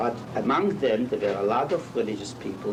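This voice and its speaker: Heard with audible room echo and noticeable background noise, a man of medium pitch talks at a moderate pace. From Poland. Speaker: Holocaust survivor and rabbi. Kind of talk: interview testimony. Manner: halting.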